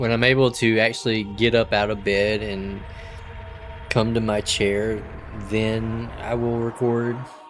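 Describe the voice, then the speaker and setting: A man talks at a medium pitch in a monotone, flat way. Music plays in the background. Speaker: gaming video host. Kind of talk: let's play commentary. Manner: casual, hesitant with fillers.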